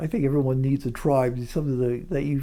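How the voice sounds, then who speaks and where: With fairly even intonation, a man talks at fairly high pitch in a dark, mellow tone. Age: 60s. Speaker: retiree vlogger. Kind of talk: casual vlog monologue. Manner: halting, many fillers and repeats.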